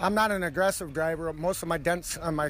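A man with a normal speaking voice, a fairly high pitch and fairly even intonation at a fairly quick pace. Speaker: race driver, figure eight champion. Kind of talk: post-race interview.

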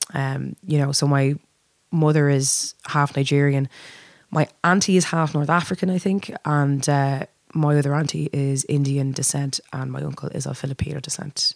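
Moderate-paced speech from a woman, her pitch very deep and low, her intonation fairly even. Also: dry, close sound with no echo. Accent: Dublin. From Dublin, Ireland. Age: 30s. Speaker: lead singer. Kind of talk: casual chat.

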